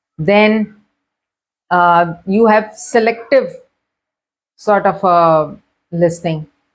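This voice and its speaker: Speaking with a Karachi accent, a woman holds a medium pitch and fairly even intonation. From Pakistan, Karachi. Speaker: educational video host. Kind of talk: lecture.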